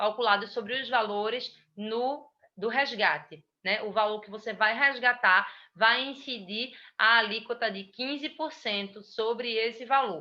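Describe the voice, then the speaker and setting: A woman talks in a normal speaking voice at a fairly slow pace. Her fairly high pitch has ordinary variation, with big swings in loudness. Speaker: tax instructor. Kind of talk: lecture.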